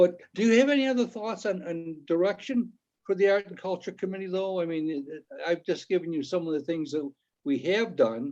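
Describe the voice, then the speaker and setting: High-pitched male voice with lively intonation at a fairly quick pace. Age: 80s. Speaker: village board trustee and former mayor. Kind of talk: committee meeting discussion. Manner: halting, many repeated words.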